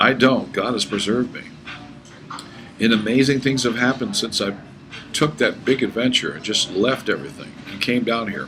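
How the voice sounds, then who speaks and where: With noticeable background noise, a man at medium pitch speaks in an animated tone at a moderate pace, with long, frequent pauses and big swings in loudness. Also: ordinary pitch variation. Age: 50s. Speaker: pastor. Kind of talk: sales pitch.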